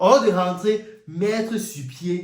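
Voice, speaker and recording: An animated man with an African accent, plus audible room echo. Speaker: YouTuber, commentator. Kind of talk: monologue rant.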